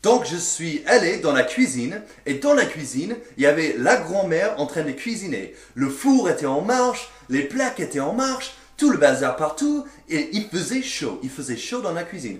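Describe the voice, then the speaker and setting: A man with an English accent, high pitch and very wide pitch swings, at a fairly slow pace, with noticeable background noise. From English-speaking country. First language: English (speaking French). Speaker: French learner sharing language anecdotes. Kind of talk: casual storytelling. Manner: animated.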